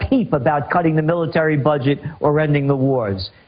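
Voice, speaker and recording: A man speaks over noticeable background noise. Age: 60s. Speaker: trends forecaster. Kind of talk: radio interview. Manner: animated.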